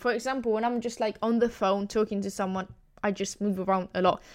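On a very clean recording with a silent background, a woman with an Italian accent speaks in an animated tone at a fairly high pitch with ordinary pitch variation. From Italy. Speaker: podcast host. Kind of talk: solo podcast monologue.

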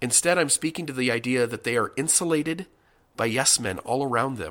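On a very clean recording with a silent background, a man speaks in a bright, sharp tone. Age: 30s. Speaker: podcast host. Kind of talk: monologue commentary. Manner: halting, repeats words.

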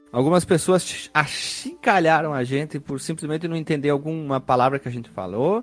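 The speaker has a strong gaúcho accent and a fairly quick pace. Pitch varies in an ordinary way. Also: man. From Rio Grande do Sul, Brazil (Caxias do Sul). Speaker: podcast host. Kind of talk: casual chat.

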